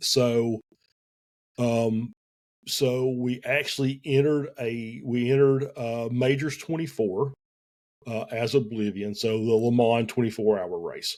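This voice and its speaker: Speaking in a Southern US accent, a man keeps a medium pitch and fairly even intonation at a fairly slow pace. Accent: Southern US drawl. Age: 50s. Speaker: esports team owner. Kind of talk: podcast interview. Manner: hesitant, many fillers.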